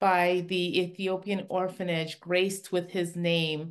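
Against a quiet background, a woman with a plain, everyday voice talks at a fairly slow pace in a medium pitch with fairly even intonation. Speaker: podcast host. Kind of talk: interview, casual chat. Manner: laughs often, warm.

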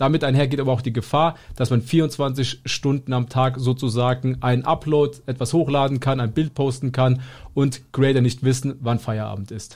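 A man talks at a moderate pace and a medium pitch. His voice is somewhat breathy and his intonation fairly even. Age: 20s. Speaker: podcast co-host and content creator. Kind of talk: casual chat.

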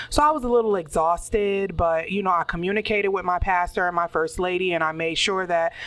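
A woman with a plain, everyday voice speaks fairly quickly at a fairly low pitch, her intonation fairly even. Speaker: podcast co-host. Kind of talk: casual chat.

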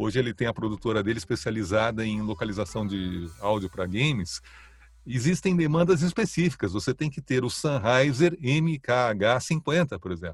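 A man at medium pitch and moderate pace, somewhat breathy, with very wide pitch swings. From São Paulo city, Brazil. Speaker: voice-over artist. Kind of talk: interview. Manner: calm, relaxed.

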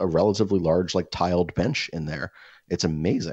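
This is a man with an American accent. His pitch is very deep and low. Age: 30s. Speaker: podcast co-host. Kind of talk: casual chat. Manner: halting.

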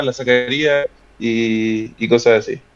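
The voice belongs to a man. Pitch variation is ordinary. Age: 20s. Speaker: fitness content creator and law graduate. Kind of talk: casual interview chat. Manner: halting, many repetitions and fillers.

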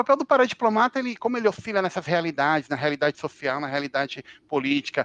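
A man with a normal speaking voice, lively intonation and a fairly quick pace, in a dry, close sound with no echo. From Brazil, Brasília. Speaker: international relations analyst and author. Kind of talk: casual interview.

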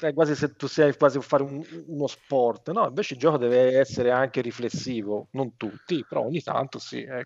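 A man speaks in an unremarkable speaking voice, pitched fairly high. His delivery is fairly quick, and his pitch moves in an ordinary way. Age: 50s. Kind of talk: casual chat.

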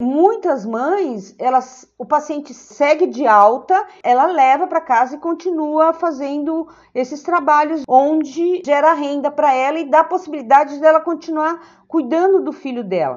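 High-pitched, a woman speaks at a fairly slow pace with hardly any pauses. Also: ordinary pitch variation. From Brazil, São Paulo. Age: 60s. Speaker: social worker. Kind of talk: interview. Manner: hesitant, repeats words.

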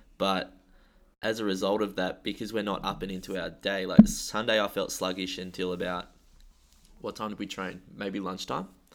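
In a very clean recording with a silent background, a man speaks at a moderate pace with a fairly low pitch and monotone, flat intonation. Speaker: gym coach and podcast host. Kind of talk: casual chat. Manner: halting, stumbling.

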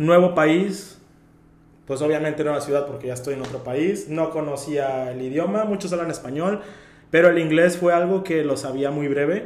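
A man's fairly high pitch at a moderate pace, with ordinary pitch variation and audible room echo. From Mexico, Veracruz. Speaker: photographer. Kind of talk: casual interview chat.

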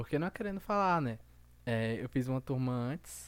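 Captured in a very clean recording with a silent background, a man talks at medium pitch and a moderate pace. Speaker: podcast host. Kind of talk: casual chat. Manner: calmer than usual.

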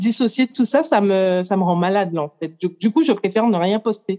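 Her tone is dark and mellow as a woman speaks at a moderate pace. The sound is dry and close, with no echo. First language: English (speaking French). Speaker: coach, workshop participant. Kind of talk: group coaching exchange.

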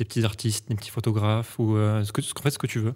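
On a very clean recording with a silent background, a man speaks at a very fast pace and a medium pitch. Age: 20s. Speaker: podcast host. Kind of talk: casual interview chat. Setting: studio.

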